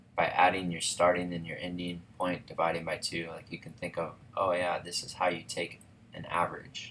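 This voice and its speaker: Against noticeable background noise, a man with a very deep, low pitch talks at a moderate pace in a flat monotone, his loudness swinging widely. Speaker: physics teacher. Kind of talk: tutorial. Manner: casual, with fillers.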